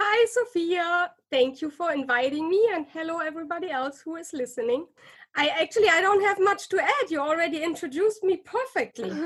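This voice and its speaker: A woman with an extremely high voice and lively intonation, in a German accent. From Germany. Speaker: psychologist and author. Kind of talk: interview. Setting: podcast interview.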